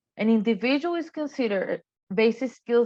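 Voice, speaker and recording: A woman's intonation is lively as she talks at a fairly quick pace. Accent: non-native. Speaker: workforce development manager. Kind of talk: training presentation. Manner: measured, explanatory.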